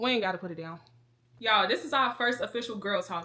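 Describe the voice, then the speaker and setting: A woman talking very fast, with ordinary pitch variation, over noticeable background noise. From Chicago, south side. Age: 20s. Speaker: lifestyle vlogger. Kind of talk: casual chat.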